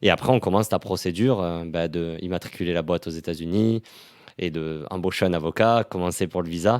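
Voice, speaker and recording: On a very clean recording with a silent background, a man talks at a fairly quick pace. His pitch is very deep and low, with ordinary pitch variation. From southern France, Toulouse. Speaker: startup employee. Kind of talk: podcast interview testimony. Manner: casual, many fillers.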